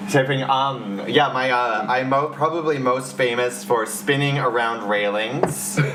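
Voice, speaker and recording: Over music in the background and audible room echo, the speaker talks at a fairly slow pace with ordinary pitch variation. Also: man, medium pitch for a man, hardly any pauses. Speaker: drag performer. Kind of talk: casual chat. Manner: loud.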